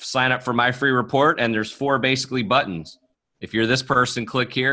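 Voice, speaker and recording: Bright and sharp in tone, a man's medium-pitched voice carries an American accent and fairly even intonation. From US East Coast. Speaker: author and sales coach. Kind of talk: casual interview. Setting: video call from basement.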